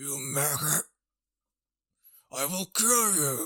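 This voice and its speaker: Pitched low-to-middle, the voice is a put-on character voice. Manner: threatening, growling.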